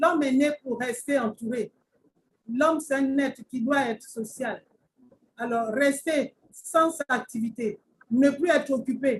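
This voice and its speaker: A high-pitched woman at a very slow pace, with ordinary pitch variation and long, frequent pauses. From Gabon. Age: 60s. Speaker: retired civil servant and network marketer. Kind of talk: presentation to online audience. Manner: formal.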